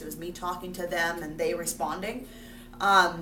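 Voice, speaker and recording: A woman talks. Her voice carries audible room echo. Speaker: sixth grade teacher. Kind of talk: self-reflection monologue to camera.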